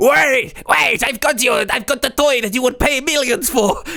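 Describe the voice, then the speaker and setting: A put-on character voice at a fairly high pitch. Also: moderate pace. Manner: excited, pleading.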